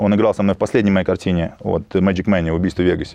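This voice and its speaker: A man talks at a very fast pace. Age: 30s. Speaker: bodybuilder and film producer. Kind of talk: interview.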